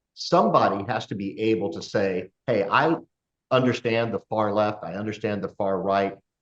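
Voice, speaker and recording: A man speaks with a plain, everyday voice at a fairly low pitch. His pace is moderate and his pitch variation ordinary. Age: 60s. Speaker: podcast host. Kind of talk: casual chat.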